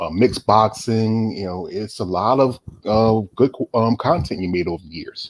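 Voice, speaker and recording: This man, with a Southern US accent, talks at a moderate pace and medium pitch, with ordinary pitch variation and big swings in loudness. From US South, North Carolina. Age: 40s. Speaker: interviewer. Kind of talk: casual interview.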